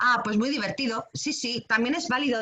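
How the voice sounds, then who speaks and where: A woman's voice over noticeable background noise. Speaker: creative writing workshop teacher. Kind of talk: online workshop talk. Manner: fast; hesitant, many fillers.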